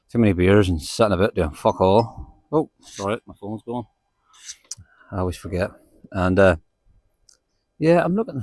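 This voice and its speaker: A man with a Northern Irish accent speaks in a fairly low pitch with lively intonation. His loudness swings widely, and he takes long, frequent pauses. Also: moderate pace, dry, close sound with no echo. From Northern Ireland, County Antrim. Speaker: book vlogger. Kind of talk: casual vlog chat while walking. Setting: outdoors. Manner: casual, rambling.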